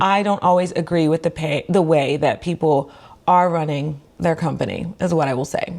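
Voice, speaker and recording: The woman's voice has a fairly low pitch. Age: 20s. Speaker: physical therapist and finance vlogger. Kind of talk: casual vlog talk to camera. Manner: fast.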